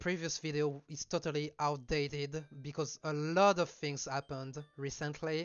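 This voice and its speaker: A man speaks at a fairly slow pace with fairly even intonation. Music plays in the background. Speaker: speedrunner. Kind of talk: gameplay commentary. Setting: home mic recording. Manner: casual, hesitant.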